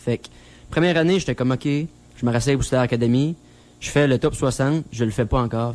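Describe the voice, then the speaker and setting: With a Quebec accent, a man speaks at a very fast pace in a medium pitch with fairly even intonation. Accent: Québécois French. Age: 20s. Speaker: country singer. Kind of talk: radio interview.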